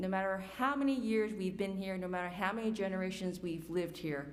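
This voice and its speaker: A woman talks at a medium pitch with a New York accent. Audible room echo surrounds her voice. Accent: New York City. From New York City. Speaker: community forum speaker. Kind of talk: personal testimony.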